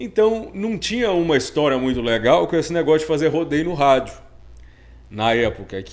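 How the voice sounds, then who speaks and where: A man speaks at a fairly high pitch with very wide pitch swings. His pace is moderate. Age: young. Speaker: rodeo announcer and radio broadcaster. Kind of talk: casual interview chat.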